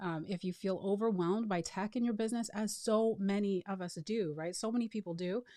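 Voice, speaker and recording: Her voice medium in pitch with a dark, mellow tone, a woman speaks at a fairly quick pace with fairly even intonation and hardly any pauses. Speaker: marketing automation consultant. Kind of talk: webinar sales training. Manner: fast.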